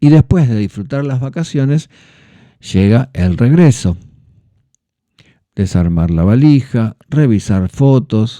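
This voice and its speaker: In a Rioplatense accent, a man with a medium pitch and a dark, mellow tone speaks at a very slow pace with lively intonation and long, frequent pauses, the sound dry and close with no echo. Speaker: Spanish teacher, podcast host. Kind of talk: educational podcast narration for learners. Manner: clear, measured pace for learners.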